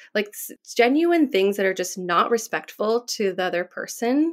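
A woman's plain, everyday voice with an American accent, lively intonation and a fairly quick pace. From San Diego, California. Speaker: podcast guest. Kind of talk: casual chat.

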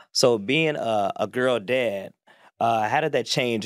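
A man with a normal speaking voice talks at a medium pitch and a fairly slow pace. The very clean recording has a silent background and a dry, close sound with no echo. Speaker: podcast host. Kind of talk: casual chat.

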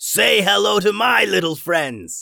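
A man shouts loudly in a put-on character voice, high-pitched with a bright, sharp tone and vocal fry. He speaks at a slow pace on a very clean recording with a silent background.

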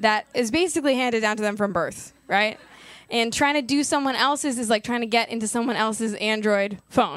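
Recorded very cleanly against a silent background, a woman speaks at a moderate pace with a fairly high pitch and ordinary pitch variation. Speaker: comedian podcast host. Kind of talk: live comedy podcast chat. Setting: stage with audience. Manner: animated, chatty, laughing.

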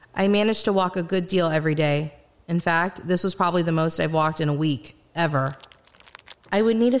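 A woman talks at a fairly quick pace in a fairly low pitch with ordinary pitch variation. Noticeable background noise is present. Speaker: first-person narrator and voice actor playing the main character in an audio drama. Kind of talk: dramatic audio-drama narration, first-person and scripted, with in-character dialogue.

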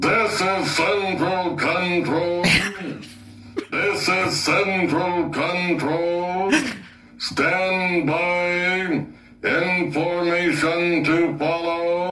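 A put-on character voice at middle pitch and a very slow pace, with clear background noise. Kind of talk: radio control announcer.

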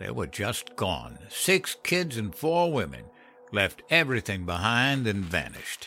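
Drawling at a fairly slow pace, a man puts on a character voice with fairly low pitch, very wide pitch swings and a bright, sharp tone while faint music plays in the background.

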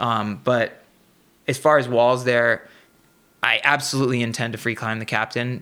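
A man talks at a moderate pace with long, frequent pauses, his medium pitch set in a bright, sharp tone with monotone, flat intonation, on a very clean recording with a silent background. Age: 30s. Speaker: professional rock climber. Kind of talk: casual interview.

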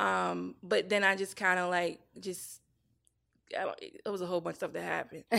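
A woman with a Virginia accent speaks at a fairly quick pace, yet leaves long, frequent pauses. The recording is very clean, with a silent background. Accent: Southern American (Virginia). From US South, small-town Virginia. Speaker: TV showrunner and writer. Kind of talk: casual chat, personal testimony. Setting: studio. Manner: animated storytelling.

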